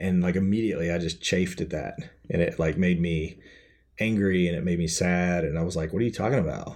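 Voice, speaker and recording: Talking at a very fast pace, a man with a very deep, low pitch speaks in an American accent. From Kentucky, US South. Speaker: author and film and TV writer. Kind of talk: interview.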